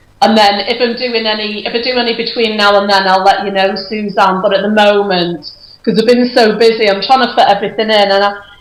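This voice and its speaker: A woman rushes along at a very fast pace with hardly any pauses and monotone, flat intonation, amid noticeable background noise and audible room echo. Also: medium pitch for a woman. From northwest England, Runcorn, Cheshire. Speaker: clairvoyant medium. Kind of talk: casual chat. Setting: Skype call.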